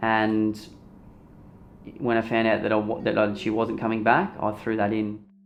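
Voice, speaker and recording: Speaking at a moderate pace with long, frequent pauses, a man with an Australian accent keeps a fairly low pitch and a monotone, flat intonation. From Australia, Torquay, Victoria. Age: 20s. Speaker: recovering addict telling his story. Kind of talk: documentary interview. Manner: casual, halting with fillers.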